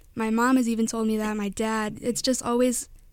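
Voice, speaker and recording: Speech comes at a fairly quick pace with a Midwestern American accent. The recording is very clean, with a silent background. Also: woman. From northwest Indiana. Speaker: college student. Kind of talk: radio interview. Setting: studio.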